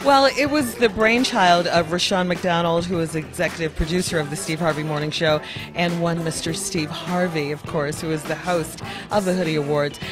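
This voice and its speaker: A woman talks at a moderate pace, her voice fairly low with ordinary pitch variation. The sound is dry with no echo, and clear music plays in the background. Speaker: radio show co-host. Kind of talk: interview answer. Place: hall. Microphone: handheld.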